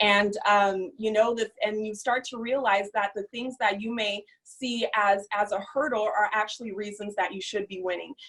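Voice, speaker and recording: This woman has an unremarkable speaking voice, fairly high in pitch, with fairly even intonation. She talks at a moderate pace with hardly any pauses. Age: young. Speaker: entrepreneur, former social worker. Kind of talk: testimony.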